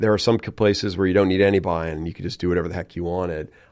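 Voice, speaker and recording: A man with an American accent speaks in a very deep, low voice with fairly even intonation. The background is quiet. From Texas (San Antonio). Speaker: real estate developer. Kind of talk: interview.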